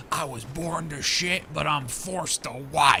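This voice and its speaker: Raspy and clearly a put-on character voice, the speech moves at a fairly slow pace over clear background noise. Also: man, fairly high pitch for a man. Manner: chaotic, heavy, deadpan.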